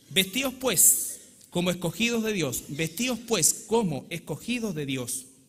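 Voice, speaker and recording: This man's high pitch makes very wide swings as he speaks. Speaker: pastor. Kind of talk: sermon. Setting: church.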